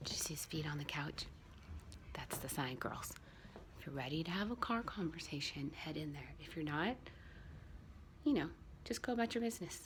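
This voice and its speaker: A quiet, somewhat breathy woman's voice with a very deep, low pitch, a fairly quick pace, lively intonation and long, frequent pauses. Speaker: vlogger. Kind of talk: casual vlog. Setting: at home. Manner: quiet, lowered voice.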